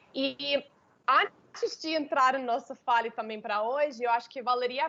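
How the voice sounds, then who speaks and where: With an American accent, a woman speaks fairly slowly. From United States. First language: English (speaking Portuguese). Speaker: intercultural consultant. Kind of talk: webinar talk. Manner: hesitant, many fillers.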